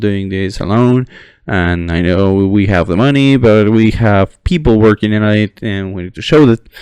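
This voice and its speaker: Recorded dry and close with no echo, a man speaks in a fairly low voice. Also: quiet background. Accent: non-native. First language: not English. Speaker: gaming commentator, history student. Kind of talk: unscripted monologue. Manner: halting, many fillers and restarts. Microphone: poor audio quality.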